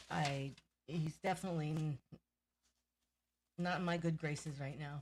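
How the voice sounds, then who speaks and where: A woman talks at a moderate pace in a very deep, low voice that sounds somewhat breathy. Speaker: sports podcast co-host. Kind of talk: casual chat. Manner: animated.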